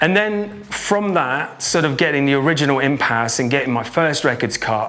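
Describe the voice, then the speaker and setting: This man talks at a fairly quick pace with a fairly high pitch and lively intonation, over noticeable background noise and audible room echo. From Norway. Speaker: drum and bass producer and DJ. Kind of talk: interview. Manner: halting.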